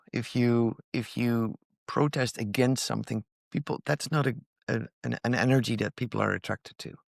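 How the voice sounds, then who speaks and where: A man with a plain, everyday voice, medium in pitch, at a moderate pace. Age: 60s. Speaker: inventor and founder of a mobility company. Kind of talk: podcast interview.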